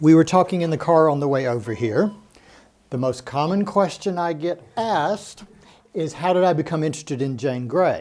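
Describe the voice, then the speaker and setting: The speaker has an American accent and a plain, everyday voice. Pitch varies in the ordinary way. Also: man, fairly high pitch for a man, moderate pace. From United States. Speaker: historian giving a talk. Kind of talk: public lecture.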